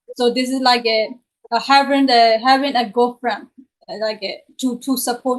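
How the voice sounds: A woman's fairly high voice with little pitch movement, at a fairly slow pace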